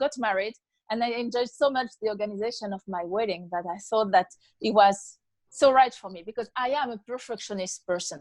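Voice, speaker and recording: Her pitch fairly high and varying in an ordinary way, a woman with a French accent speaks at a moderate pace in a dry, close sound with no echo. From France. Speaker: author. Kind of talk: interview. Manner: halting.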